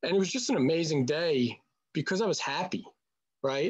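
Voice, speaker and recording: A New York accent over a quiet background. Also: man. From Staten Island, New York. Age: 40s. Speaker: brand partner. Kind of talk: testimony. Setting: video call.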